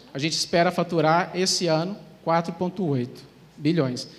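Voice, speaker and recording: A man's high voice in a Minas Gerais accent, at a fairly quick pace. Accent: mineiro (Minas Gerais) Brazilian Portuguese. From Brazil, Minas Gerais (Uberlândia). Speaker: e-commerce manager. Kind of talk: conference talk.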